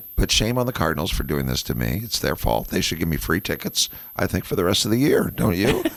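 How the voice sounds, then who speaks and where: With very wide pitch swings, a man speaks in a very deep, low voice at a very fast pace. Noticeable background noise is present. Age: 60s. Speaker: radio host. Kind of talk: casual chat.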